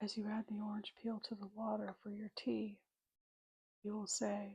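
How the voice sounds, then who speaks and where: A fairly slow, soft-spoken whisper, somewhat breathy. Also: woman. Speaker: witch character in roleplay ASMR. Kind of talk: ASMR roleplay, teaching herbal tea craft. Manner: soft-spoken, whispered.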